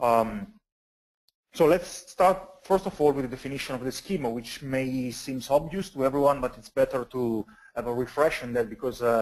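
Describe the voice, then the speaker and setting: Talking at a moderate pace with an Italian accent, a man shows ordinary pitch variation and big swings in loudness. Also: medium pitch for a man. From Italy. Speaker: database consultant and conference speaker. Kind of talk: technical webcast presentation. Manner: halting, many fillers.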